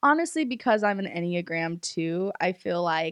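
The speech comes at a fairly slow pace on a very clean recording with a silent background. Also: woman. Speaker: podcast host.

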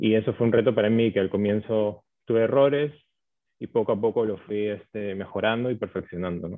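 A man's fairly low voice at a fairly quick pace with fairly even intonation. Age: 20s. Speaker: chef and food business owner. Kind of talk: interview. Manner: hesitant, many fillers.

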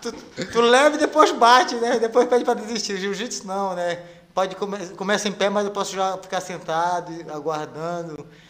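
This man's pitch is high, with ordinary variation. He talks at a moderate pace. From Pará, Brazil, raised in Rondônia from age 8. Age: 40s. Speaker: jiu-jitsu instructor and world champion. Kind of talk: casual interview chat. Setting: studio, live stream.

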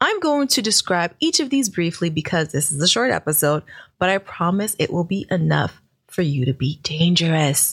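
Speaking at a moderate pace with an American accent, a woman sounds somewhat breathy, her pitch swinging very widely. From New York, Brooklyn. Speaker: podcast host and business coach. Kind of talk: solo podcast monologue.

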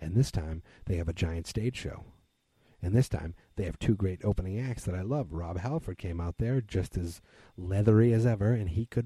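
A man's somewhat breathy, dark, mellow voice with an American accent, fairly low in pitch with ordinary pitch variation, at a fairly quick pace. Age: 30s. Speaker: podcast host. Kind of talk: solo monologue. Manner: hesitant, many fillers.

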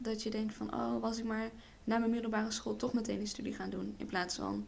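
In a room with audible echo, a woman speaks at a moderate pace and a fairly high pitch. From Netherlands. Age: 20s. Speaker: hairdressing student and model. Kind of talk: casual chat.

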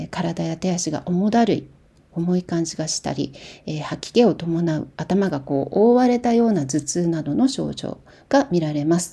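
Fairly slow and somewhat breathy, a woman's fairly low voice has a dark, mellow tone and lively intonation. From Japan, Kumamoto. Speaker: podcast host on herbal medicine and diet. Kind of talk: casual talk.

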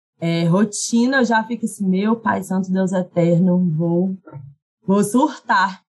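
A woman's somewhat breathy voice at a medium pitch and very slow pace. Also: ordinary pitch variation. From Minas Gerais, Brazil (Carmópolis). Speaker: actress and content creator. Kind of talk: casual interview chat.

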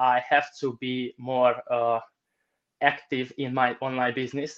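A man speaks with a Romanian accent. His pitch is medium and his pace fairly slow. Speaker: online entrepreneur. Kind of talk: interview answers. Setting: video call.

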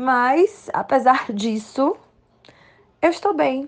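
With an animated tone, a woman talks in a high voice that makes very wide pitch swings. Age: 30s. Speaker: listener testimonial. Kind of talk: recorded testimony.

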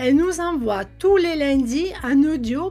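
A woman with a high voice speaks in an upbeat tone with lively intonation. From Italy. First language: Italian (speaking French). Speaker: entrepreneur and podcast host. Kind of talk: podcast monologue.

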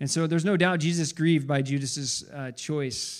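A man at a fairly high pitch speaks at a moderate pace in a very clean recording with a silent background. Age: 40s. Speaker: college pastor. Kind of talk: sermon. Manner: halting, many fillers and repeats.

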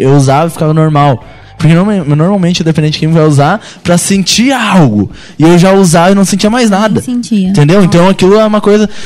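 Against noticeable background noise, a high-pitched man talks at a fairly quick pace with ordinary pitch variation and very even loudness. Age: 20s. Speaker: church youth guest sharing recovery story. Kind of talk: testimony.

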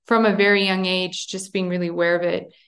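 A woman speaks in a Montreal accent at medium pitch. Her intonation is monotone and flat. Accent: Canadian English (Montreal). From Montreal, Canada. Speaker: international law expert. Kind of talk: interview. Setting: remote call from abroad.

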